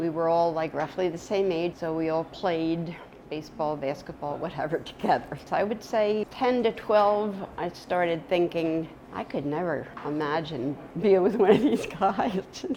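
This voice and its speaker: The woman's fairly low voice has ordinary pitch variation and a moderate pace, with noticeable background noise present. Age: 60s. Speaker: interviewee. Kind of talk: testimony.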